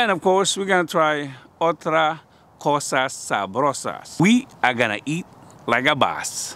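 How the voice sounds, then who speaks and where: The sound is dry, with no echo. A man speaks at a fairly slow pace. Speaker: food vlogger. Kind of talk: casual vlog chat. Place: street. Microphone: phone near.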